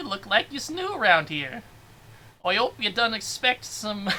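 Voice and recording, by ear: A female-sounding voice puts on a character, pitched fairly high for a woman and moving at a moderate pace.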